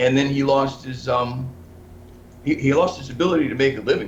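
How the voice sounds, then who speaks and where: A man talks at a fairly quick pace with ordinary pitch variation, with audible room echo in the recording. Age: 60s. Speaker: investigative journalist. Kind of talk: interview. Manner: halting.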